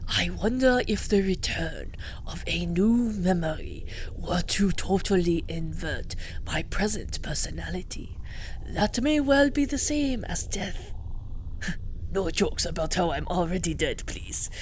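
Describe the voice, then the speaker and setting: A woman's put-on character voice at a fairly slow pace, with clear background noise. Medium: game stream. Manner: polite, measured.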